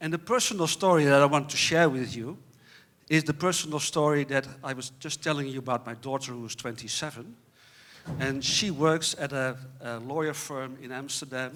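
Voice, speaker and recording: At a moderate pace, a man speaks in a fairly high pitch with ordinary pitch variation and big swings in loudness. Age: 60s. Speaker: panel moderator. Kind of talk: conference panel introduction. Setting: stage with audience. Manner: halting, many repetitions.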